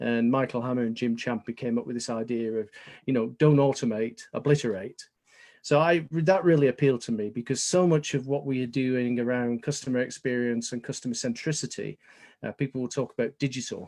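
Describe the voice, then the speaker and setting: A man with a British accent talks at a fairly quick pace and medium pitch with fairly even intonation. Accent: very British. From England. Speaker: business consultant. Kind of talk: webinar presentation.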